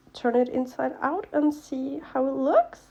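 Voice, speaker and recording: The speaker has a non-native accent and a very slow pace. The intonation stays fairly even. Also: woman. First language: not English. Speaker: craft youtuber. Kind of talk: tutorial. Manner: casual, filler-heavy.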